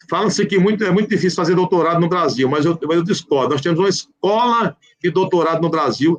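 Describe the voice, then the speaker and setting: This man has a high pitch. He talks at a moderate pace with ordinary pitch variation. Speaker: public prosecutor and law professor. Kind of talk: live online legal discussion. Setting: live video call.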